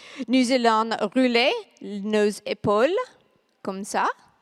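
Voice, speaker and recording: A woman with a non-native accent and a fairly high pitch speaks at a very slow pace with ordinary pitch variation, in a dry, close sound with no echo. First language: not French (speaking French). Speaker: fitness instructor. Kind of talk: guided exercise break. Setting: conference hall with audience, microphone. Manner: energetic, instructive.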